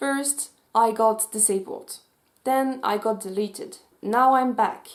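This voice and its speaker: A woman with a Swiss French accent. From French-speaking Switzerland. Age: 20s. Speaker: youtuber and mental health advocate. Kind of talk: vlog commentary. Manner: animated.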